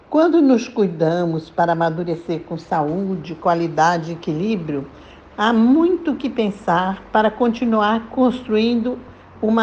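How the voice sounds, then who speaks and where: Very wide pitch swings mark this woman's medium-pitched voice as she speaks at a very slow pace. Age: 80s+. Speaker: retired lawyer and columnist. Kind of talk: prepared talk read aloud.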